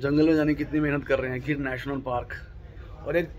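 A man talks while light background noise can be heard. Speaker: travel vlogger. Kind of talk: casual vlog chat. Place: boat. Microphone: phone near.

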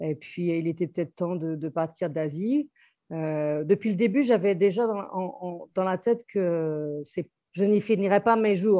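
A woman's medium-pitched voice with ordinary pitch variation at a fairly slow pace. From Brittany, France. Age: 40s. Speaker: restaurant entrepreneur and expat. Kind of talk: interview. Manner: halting, many fillers.

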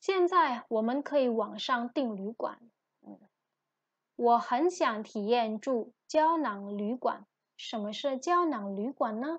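With lively intonation and big swings in loudness, a woman speaks at a high pitch and a very slow pace, the sound dry and close with no echo. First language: Indonesian (speaking Chinese). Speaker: Chinese language lecturer. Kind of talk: lecture.

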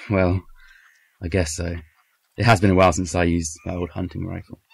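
Putting on a character voice, a man speaks at a moderate pace and low pitch with vocal fry, a slightly husky edge and little pitch movement.

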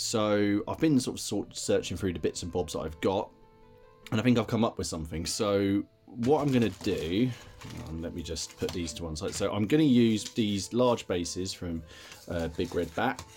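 Faint music plays in the background as a man with a fairly low pitch talks at a moderate pace. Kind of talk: casual hobby tutorial chat. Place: home room. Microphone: phone near.

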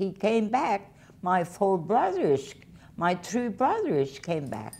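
This woman talks at a very slow pace. Her pitch swings very widely. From Canada, Prince Edward Island. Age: 100. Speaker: oral history interviewee. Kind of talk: oral history interview. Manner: halting.

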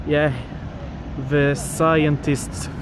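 The pace is very slow. The sound is dry with no echo, and background noise is noticeable. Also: man. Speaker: travel vlogger. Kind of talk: casual vlog chat. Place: street. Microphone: phone near.

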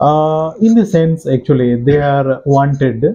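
A man with a fairly high, somewhat breathy voice and ordinary pitch variation. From India. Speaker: political interviewer. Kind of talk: interview. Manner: formal. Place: home room.

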